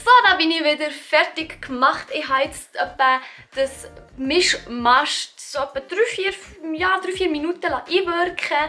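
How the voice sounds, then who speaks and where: Over background music, a woman with a Swiss accent speaks in a raised, projected voice at an extremely high pitch, with lively intonation and a fairly slow pace. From Switzerland. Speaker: beauty and lifestyle YouTuber. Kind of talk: DIY hair tutorial talk to camera.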